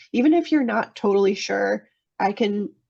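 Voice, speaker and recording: With a normal speaking voice, a woman talks at a fairly slow pace and medium pitch, her intonation lively. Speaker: technical assistance provider presenting to water utilities. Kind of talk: webinar presentation.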